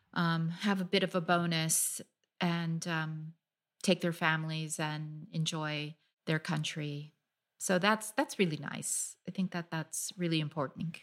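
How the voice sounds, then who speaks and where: In a plain, everyday voice, a woman with a fairly low pitch speaks at a fairly slow pace with fairly even intonation, on a very clean recording with a silent background. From US (California). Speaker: freelance travel writer. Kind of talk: interview.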